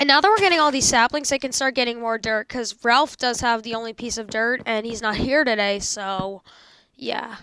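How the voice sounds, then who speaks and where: The voice has a bright, sharp tone and ordinary pitch variation. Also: woman, fairly high pitch for a woman. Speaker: gaming youtuber. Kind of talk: gameplay commentary. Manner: fast; halting.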